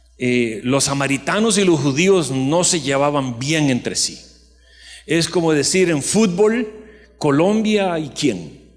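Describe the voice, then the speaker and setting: Fairly high-pitched male voice, very slow yet lively in intonation, with audible room echo. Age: 60s. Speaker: pastor. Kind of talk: sermon.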